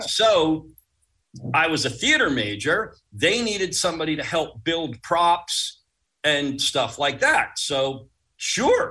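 Spoken at a very slow pace, the bright, sharp voice carries an American accent. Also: man, high pitch for a man, lively intonation. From Long Island, New York (Uniondale, Nassau County). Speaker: pyrotechnics designer. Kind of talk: interview storytelling.

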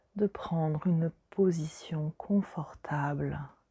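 In a very clean recording with a silent background and a dry, close sound with no echo, a woman speaks at a very slow pace and a very deep, low pitch, somewhat breathy, in a gentle, calm tone that is dark and mellow. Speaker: meditation guide. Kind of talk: guided meditation. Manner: slow, soothing, soft-spoken, with long pauses; gentle, calm, intimate.

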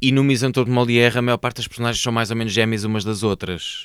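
A man talks at a very fast pace with a European Portuguese accent. The recording is very clean with a silent background, and the sound is dry and close with no echo. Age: 40s. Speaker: actor. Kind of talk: casual chat.

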